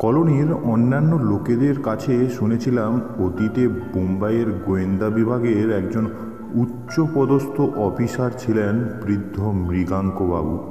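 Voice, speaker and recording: A man at medium pitch with ordinary pitch variation and very even loudness, music in the background. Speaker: audio story narrator. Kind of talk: thriller audio story reading.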